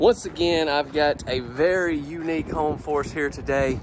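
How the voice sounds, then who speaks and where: A strong Southern US accent over noticeable background noise. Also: man. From US South. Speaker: home tour vlogger. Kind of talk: home tour vlog. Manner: animated.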